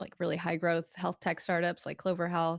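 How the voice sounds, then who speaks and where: In a very clean recording with a silent background, a woman with an American accent speaks at a fairly low pitch in a flat monotone. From Peru and Arizona. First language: Spanish. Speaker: executive coach. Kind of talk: interview. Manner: halting.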